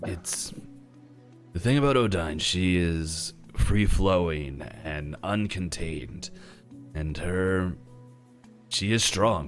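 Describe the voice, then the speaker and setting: A man uses a put-on character voice with a very deep, low pitch, speaking at a very slow pace. Long pauses come often, and music plays clearly in the background. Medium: actual play. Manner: gentle, rambling, fatherly.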